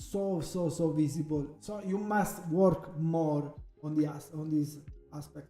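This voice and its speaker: A man with an Italian accent speaks at a fairly slow pace and a fairly high pitch, with audible room echo and music in the background. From Italy. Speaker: photographer. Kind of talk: tutorial. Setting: live stream. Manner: halting, many fillers and restarts.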